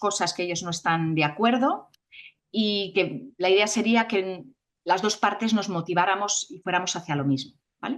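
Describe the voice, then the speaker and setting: Here a woman speaks with a Castilian accent. Her pitch sits in the medium range. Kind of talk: conference talk. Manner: fast; hurried to finish.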